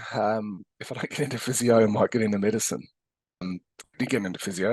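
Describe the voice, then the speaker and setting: A man's fairly low voice at a fairly quick pace, dry and close with no echo. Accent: Australian. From Australia, Adelaide. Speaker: physiotherapist and educator. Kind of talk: interview conversation. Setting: podcast interview. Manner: hesitant with many fillers.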